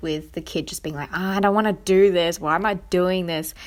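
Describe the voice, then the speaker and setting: On a very clean recording with a silent background, a woman with an Australian accent speaks at a medium pitch. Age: 20s. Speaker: podcast host. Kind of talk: casual chat. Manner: animated.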